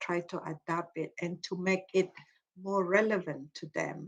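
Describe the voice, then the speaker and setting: A woman with a Malaysian accent, at a fairly slow pace, with monotone, flat intonation. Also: quiet background. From Malaysia, Iban ethnic group. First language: Iban. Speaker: psychology professor, cognitive behaviour therapist. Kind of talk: Q&A session after lecture.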